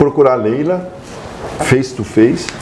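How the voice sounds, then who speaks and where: A man speaks at a fairly slow pace with lively intonation. Noticeable background noise runs underneath. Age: 60s. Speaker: president of an Italian social club. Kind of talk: interview. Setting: on location at the club. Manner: halting, repeats words.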